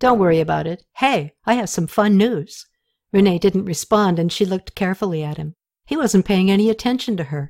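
In a natural reading voice, the speaker reads against a quiet background.

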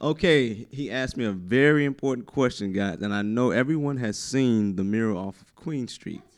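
A man with an eastern North Carolina accent speaks at medium pitch and a moderate pace, with ordinary pitch variation. He leaves hardly any pauses, and his loudness swings widely. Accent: US South, eastern North Carolina. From New Bern, North Carolina. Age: young. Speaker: arts nonprofit founder. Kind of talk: radio interview. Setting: radio studio, sharing one mic.

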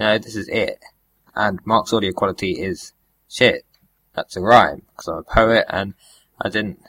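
A man with a British accent speaks at a fairly low pitch and moderate pace, with fairly even intonation and long, frequent pauses. His tone is bright and sharp, and the sound is dry and close with no echo. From Britain. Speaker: podcast co-host. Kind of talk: casual chat.

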